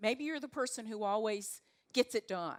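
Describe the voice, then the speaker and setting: With a Southern accent, a woman speaks at a fairly high pitch with lively intonation in a dry, close recording with no echo. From US South, North Carolina. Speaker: leadership coach. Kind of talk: talk to a live audience. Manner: animated.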